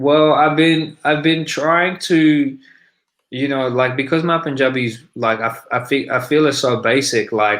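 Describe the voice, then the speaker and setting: The speaker has an Australian accent and ordinary pitch variation, heard on a very clean recording with a silent background. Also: man, fairly high pitch for a man, fairly slow pace. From Sydney, Australia. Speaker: rapper. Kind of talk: interview. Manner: casual, many fillers.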